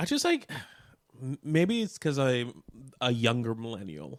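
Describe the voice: The pace is fairly slow for this man at medium pitch. His pitch swings very widely.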